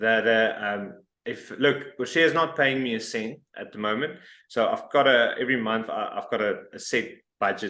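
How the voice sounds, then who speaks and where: With a South African accent, a man speaks at medium pitch and a moderate pace, using ordinary pitch variation against a quiet background. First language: Afrikaans. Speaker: interviewer, expat community app founder. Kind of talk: casual interview.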